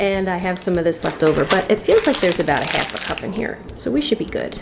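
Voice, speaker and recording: Noticeable background noise accompanies a woman talking at a very fast pace. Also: medium pitch for a woman, lively intonation. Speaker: vlogger. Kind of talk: cooking tutorial. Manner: soft, lowered voice; animated.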